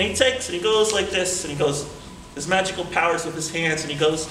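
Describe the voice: The man's pitch is fairly high and his tone fairly bright, with ordinary pitch variation. Audible room echo surrounds him. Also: fairly quick pace.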